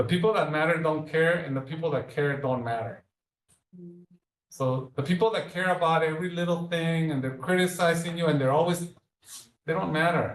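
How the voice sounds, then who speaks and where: A man with a slight Mexican accent speaks at a fairly quick pace and a fairly high pitch. His pitch varies in an ordinary way, broken by long, frequent pauses. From Mexico (Leon, central Mexico). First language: Spanish. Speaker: speaker series guest, healthcare leader. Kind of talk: public talk with Q&A.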